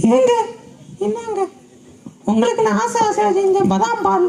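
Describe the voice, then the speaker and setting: Using a put-on character voice, a woman speaks at an extremely high pitch with very wide pitch swings and a fairly slow pace. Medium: stage play. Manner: placating, earnest.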